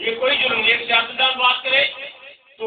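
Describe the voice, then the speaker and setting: Fairly even intonation carries through noticeable background noise and audible room echo. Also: man. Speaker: religious activist speaker. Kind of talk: speech to supporters. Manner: impassioned, forceful.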